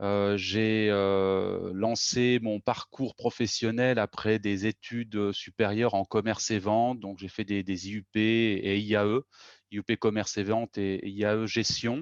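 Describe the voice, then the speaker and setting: Against a quiet background, a man with a fairly low pitch speaks at a fairly slow pace in a monotone, flat intonation, with a dry, close sound with no echo. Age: 40s. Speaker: organizational consultant, company co-founder. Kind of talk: interview. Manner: hesitant, many fillers and repetitions.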